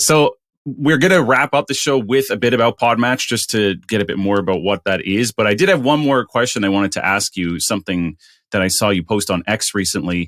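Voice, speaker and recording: A man with a fairly low voice speaks with lively intonation. The recording is very clean and dry, close with no echo and a silent background. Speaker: podcast host. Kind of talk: interview conversation. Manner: fast.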